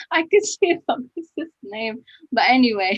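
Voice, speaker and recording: Very slowly, a woman speaks with very wide pitch swings in a dry, close sound with no echo. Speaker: online event host. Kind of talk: hosting a live online testimony event. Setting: live online stream. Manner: halting, many fillers.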